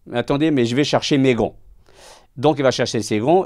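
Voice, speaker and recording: Over a silent background in a very clean recording, a man's speech runs fairly quick. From Portugal. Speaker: self-employed worker, hospital patient. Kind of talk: interview testimony. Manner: halting, repeats words.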